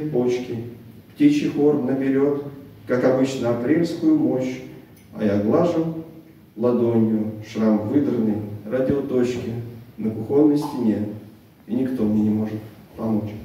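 Over light background noise and strong room echo, a man speaks at a very slow pace with long, frequent pauses and ordinary pitch variation. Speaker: poet. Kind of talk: poetry reading. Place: meeting room. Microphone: camera far.

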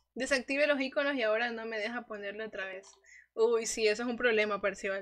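Against a quiet background, a woman speaks at a very fast pace with an animated tone and a fairly high pitch. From Ecuador. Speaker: gaming streamer. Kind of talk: live gaming stream chat. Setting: livestream. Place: home room. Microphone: studio mic.

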